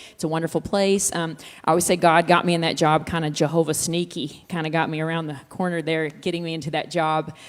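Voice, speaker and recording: A woman with a Texas accent talks at a very fast pace in a fairly low voice, with hardly any pauses. The recording is very clean, with a silent background. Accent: Texas Southern. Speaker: worship leader. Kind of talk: interview. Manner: animated.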